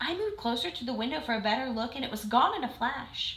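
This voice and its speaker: A woman puts on a character voice, pitched high. She talks at a very fast pace. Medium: read story. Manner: friendly, conversational.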